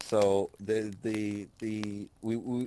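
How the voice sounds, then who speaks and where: An Irish accent marks this man's speech. His voice is fairly low, with a dark, mellow tone. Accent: Irish, milder than usual. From Ireland. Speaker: podcast co-host. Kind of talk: casual chat, storytelling.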